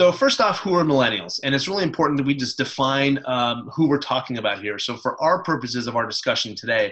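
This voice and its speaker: Amid noticeable background noise, a man talks at a very fast pace with lively intonation. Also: fairly high pitch for a man. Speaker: webinar presenter. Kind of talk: presentation.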